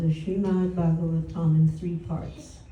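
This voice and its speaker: The woman talks at a fairly slow pace. Audible room echo surrounds her voice. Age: 80s+. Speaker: spiritual teacher. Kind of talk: religious talk. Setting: home gathering.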